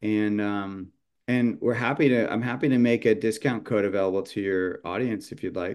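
A man with an American accent and a plain, everyday voice talks at a moderate pace with a fairly low pitch and fairly even intonation. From California, San Jose. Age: 50s. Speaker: chef and seasoning company founder. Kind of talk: casual interview chat.

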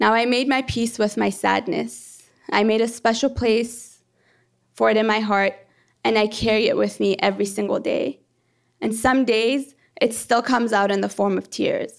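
A woman at a moderate pace with very even loudness, on a very clean recording with a silent background. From born in Iran, raised in Canada from age 13. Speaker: planetary geology PhD student. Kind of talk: live storytelling.

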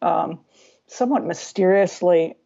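The voice carries a Californian accent. It moves at a fairly slow pace. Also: woman. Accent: Californian American. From US West Coast, San Diego. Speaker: cartoonist and writer. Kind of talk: casual interview. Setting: Skype call.

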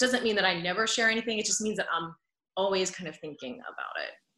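A woman talks in a normal speaking voice with an American accent. Her pitch variation is ordinary. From Pennsylvania. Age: 30s. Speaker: former news anchor, podcaster. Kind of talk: interview.

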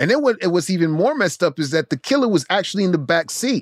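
Delivered at a fairly quick pace with very wide pitch swings and an animated tone, the voice has a dry, close sound with no echo on a very clean recording with a silent background. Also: man. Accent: New York. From Brooklyn, New York, Haitian household. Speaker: podcast co-host, comic book artist. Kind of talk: casual chat.

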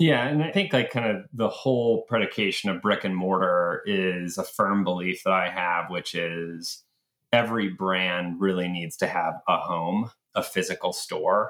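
A man with a normal speaking voice talks at a fairly slow pace. His pitch is fairly low, with ordinary pitch variation. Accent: American. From US South, Atlanta. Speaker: retail company founder. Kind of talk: interview conversation.

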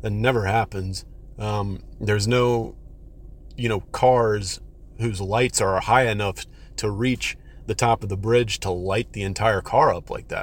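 Over a silent background in a very clean recording, a man speaks at a moderate pace in a medium pitch, somewhat breathy, with fairly even intonation. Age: 30s. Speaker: listener sharing experience. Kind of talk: testimony. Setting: recorded voice message. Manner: halting.

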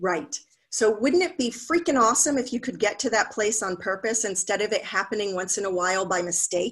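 A woman with an unremarkable speaking voice talks at a fairly quick pace with lively intonation. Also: fairly high pitch for a woman. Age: 50s. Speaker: happiness coach. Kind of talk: casual interview.

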